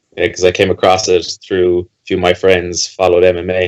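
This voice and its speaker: At a fairly quick pace, a man with a very deep, low pitch talks with a Limerick accent, the sound dry and close with no echo. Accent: Irish (Limerick). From Ireland, Limerick. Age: 20s. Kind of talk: podcast interview. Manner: casual.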